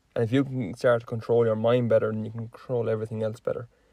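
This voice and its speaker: A man with an Irish accent speaks at a medium pitch in a dark, mellow tone, his intonation monotone and flat. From Ireland. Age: 20s. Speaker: podcast host. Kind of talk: casual chat.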